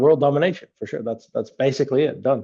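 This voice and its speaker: A fairly high-pitched man with a Dutch accent. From Netherlands. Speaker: app company founder. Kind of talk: podcast interview. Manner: repeats words, halting starts.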